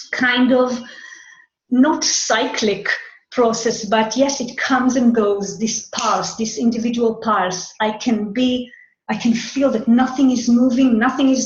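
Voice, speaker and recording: A fairly slow, monotone, flat delivery in an Israeli accent, with audible room echo. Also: woman. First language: Hebrew. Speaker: human design astrology teacher. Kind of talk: monologue talk. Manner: halting, with repetitions.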